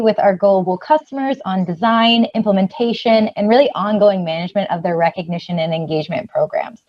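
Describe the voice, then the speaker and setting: Her delivery comes out very fast. The woman's intonation is lively throughout. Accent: Californian. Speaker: customer success manager. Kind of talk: webinar presentation.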